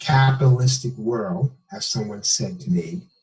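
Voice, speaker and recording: A man's medium-pitched voice with lively intonation over music in the background. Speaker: medical doctor. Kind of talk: interview. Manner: halting.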